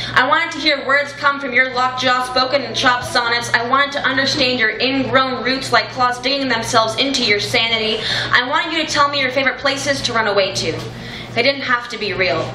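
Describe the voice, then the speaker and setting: There is noticeable background noise as a woman speaks in a raised, projected voice. She moves at a fairly quick pace with ordinary pitch variation. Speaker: youth slam poet. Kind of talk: spoken word poetry performance. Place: cafe.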